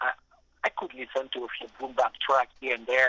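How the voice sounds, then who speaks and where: Speaking at a fairly quick pace, a man has a fairly high pitch and a bright, sharp tone in a dry, close sound with no echo. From western France, Nantes. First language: French. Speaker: music producer. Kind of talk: radio interview. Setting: phone call. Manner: talkative, with many hesitations and repeated words.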